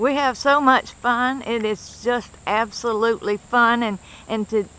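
The sound is dry, with no echo. A woman speaks with an Appalachian accent at a fairly high pitch. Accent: Appalachian American. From West Virginia. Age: 70s. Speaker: vlogger's wife. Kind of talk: casual narration while filming. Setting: outdoors, riding in a sidecar. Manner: cheerful, laughs often. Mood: joyful, enthusiastic. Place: street. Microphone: phone near.

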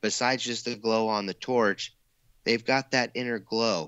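A man with an American accent speaks in a normal speaking voice. His intonation is fairly even and his pace moderate. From US Pacific Northwest, Eugene, Oregon. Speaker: glass artist. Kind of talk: casual chat.

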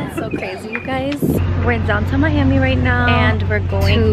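Over loud background noise, a woman talks at a moderate pace with ordinary pitch variation in a dry sound with no echo. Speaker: vlogger. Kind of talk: casual vlog chat. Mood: cheerful, laughing. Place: street. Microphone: phone near.

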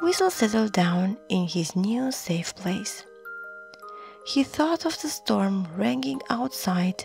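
Lively intonation from a natural reading voice

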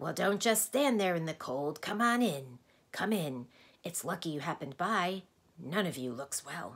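A croaky, put-on character voice at a middle pitch moves along at a moderate pace. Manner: welcoming, breezy.

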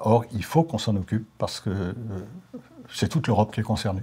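A man speaks with a fairly low pitch and a dark, mellow tone. His voice is somewhat breathy. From Alsace. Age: 70s. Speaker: retired politician. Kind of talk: interview monologue. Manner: hesitant, many fillers. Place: studio. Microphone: lapel.

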